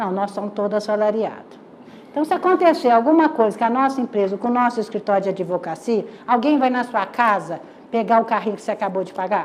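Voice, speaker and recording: Talking at a fairly quick pace, a woman uses lively intonation. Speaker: lecturer. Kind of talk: lecture. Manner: fast; animated.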